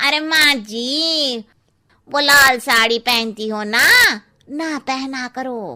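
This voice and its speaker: A woman speaks in a put-on character voice, pitched high. Her delivery is very slow, with ordinary pitch variation. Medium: read story. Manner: cheeky, chatty.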